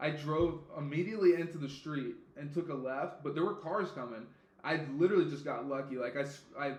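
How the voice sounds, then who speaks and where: There is noticeable background noise and audible room echo as a man talks at a fairly quick pace in a fairly high pitch. His tone is animated, with ordinary pitch variation. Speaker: podcast host. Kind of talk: casual chat. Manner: loud.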